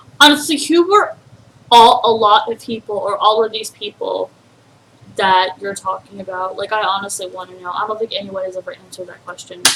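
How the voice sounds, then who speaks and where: Over noticeable background noise, a woman with a fairly high pitch talks at a fairly quick pace in an angry tone, her loudness swinging a lot while her pitch varies in an ordinary way. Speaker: YouTube reaction commentator. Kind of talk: reaction commentary. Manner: angry-sounding.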